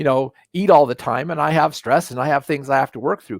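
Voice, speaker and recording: A man with a fairly high pitch, in a dry, close sound with no echo. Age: 60s. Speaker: natural health educator. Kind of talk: live webinar lecture. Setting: live online broadcast. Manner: halting, with many repeated words.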